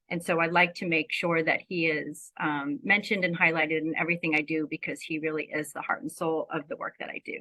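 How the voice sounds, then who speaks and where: A woman with an American accent speaks at a fairly quick pace in a normal speaking voice. Her pitch sits fairly low with ordinary variation, while her loudness swings widely. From US East Coast. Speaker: grief therapist. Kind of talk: presentation to online panel.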